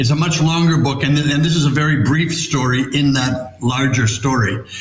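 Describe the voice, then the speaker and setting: A man with an American accent and a fairly high pitch at a moderate pace, with audible room echo. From New York. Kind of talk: interview storytelling.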